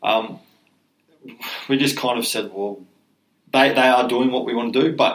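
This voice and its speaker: A man with an Australian accent speaks at medium pitch and a moderate pace, with ordinary pitch variation and long, frequent pauses. His loudness swings widely, and there is audible room echo. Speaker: mental health charity co-founder, former rugby league player. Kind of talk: podcast interview.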